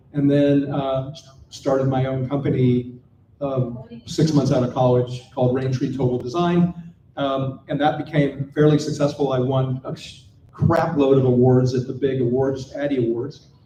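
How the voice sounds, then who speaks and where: With an American accent, a man talks at a moderate pace and medium pitch in monotone, flat intonation, with audible room echo. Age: 60s. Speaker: panel speaker, designer and entrepreneur. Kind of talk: conference panel talk. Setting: stage with live audience.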